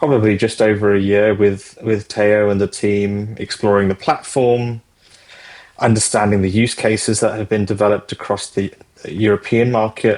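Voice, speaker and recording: A man with a British accent and fairly even intonation. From Britain. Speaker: fintech executive. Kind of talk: interview. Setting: podcast.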